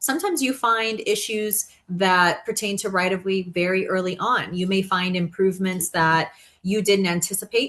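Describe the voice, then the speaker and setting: A woman talks at a moderate pace and medium pitch with fairly even intonation. Hers is a plain, everyday voice. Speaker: training presenter. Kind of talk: online training presentation.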